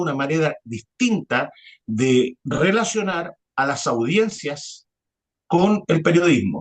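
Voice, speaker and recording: Very slowly, a man speaks with a fairly high pitch and very wide pitch swings, the sound dry and close with no echo. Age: 40s. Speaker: journalist. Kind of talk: interview conversation. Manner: hesitant, many fillers.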